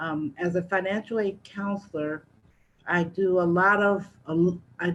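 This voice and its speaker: This woman's fairly low-pitched voice keeps a fairly even intonation. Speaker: financial aid counselor. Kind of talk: presentation. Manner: slow.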